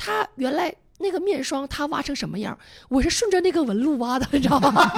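Her pitch is high, and this woman's voice swings very widely up and down. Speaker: podcast guest. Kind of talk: casual chat.

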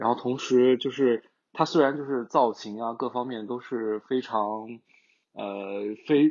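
A man with medium pitch and ordinary pitch variation talks in an ordinary speaking voice. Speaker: advertising professional. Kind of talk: casual podcast discussion.

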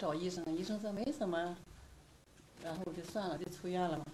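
The pace is moderate as a woman talks. Her voice has a medium pitch. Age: 50s. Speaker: patient. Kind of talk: patient interview.

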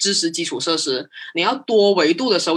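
This is a woman's voice. It is pitched in the middle range. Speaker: marketing professional. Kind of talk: casual interview chat. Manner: fast.

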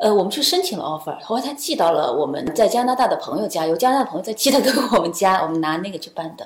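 A woman at a medium pitch, very fast pace and very wide pitch swings, with hardly any pauses. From China. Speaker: accompanying parent of an international student. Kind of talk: casual interview. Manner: hesitant, many fillers.

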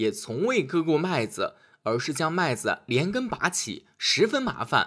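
A man speaks at a moderate pace with a fairly high pitch and a fairly bright tone, his pitch swinging widely. The recording is very clean, with a silent background.

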